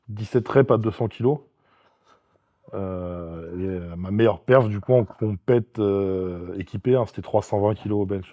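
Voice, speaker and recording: Fairly slow, fairly low-pitched speech from a man, with long, frequent pauses and fairly even intonation. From France. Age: 40s. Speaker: strongman athlete and sports coach. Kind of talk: casual interview chat. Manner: hesitant with frequent fillers.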